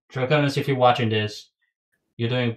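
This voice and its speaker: A man speaks with a somewhat breathy voice and ordinary pitch variation. The background is quiet. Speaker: podcast host. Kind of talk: casual chat.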